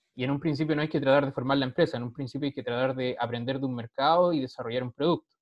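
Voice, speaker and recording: A man is talking. His pitch is fairly high. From Chile. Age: 30s. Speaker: social entrepreneur, startup sales director. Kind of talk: interview. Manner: halting, frequent repetitions.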